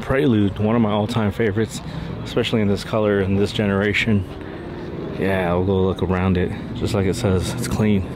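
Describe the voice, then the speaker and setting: Dry with no echo, the recording carries noticeable background noise as a man speaks at a fairly quick pace with very even loudness and fairly even intonation. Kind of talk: casual walkaround commentary. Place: street. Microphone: phone near.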